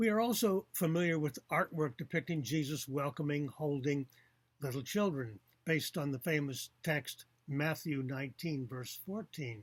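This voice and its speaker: A man with a fairly high pitch speaks at a moderate pace, somewhat breathy, with ordinary pitch variation. The sound is dry and close with no echo. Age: 70s. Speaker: author and atheist commentator. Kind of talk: video commentary on a book.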